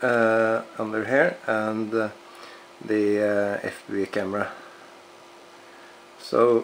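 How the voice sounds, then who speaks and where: Speaking very slowly, a man uses a fairly low pitch. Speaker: RC hobbyist reviewer. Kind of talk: product review. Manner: halting, many fillers.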